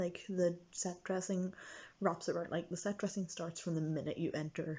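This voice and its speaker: The voice is quiet and somewhat breathy, with fairly even intonation. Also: woman. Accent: English. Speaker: vlogger. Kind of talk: casual vlog. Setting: friend's house at night. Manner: hesitant with many fillers.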